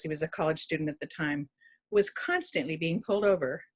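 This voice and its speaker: A woman's somewhat breathy voice, in an American accent, moves along at a fairly quick pace. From Oregon, Milwaukie area. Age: 70s. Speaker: resident speaking at a town hall. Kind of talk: personal testimony. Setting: virtual town hall video call.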